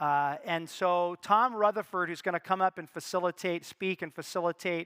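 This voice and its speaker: With an American accent, this bright, sharp voice talks at a fairly quick pace with ordinary pitch variation, captured in a very clean, dry, close recording against a silent background with no echo. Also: man. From United States. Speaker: conference MC and foundation head. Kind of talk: conference speech. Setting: stage with audience. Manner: halting.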